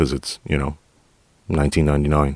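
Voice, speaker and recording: A man speaks with a New York accent. His pitch is very deep and low, and the sound is dry and close with no echo. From New York City, Queens. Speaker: podcast host, retired police officer. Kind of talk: casual monologue. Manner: direct.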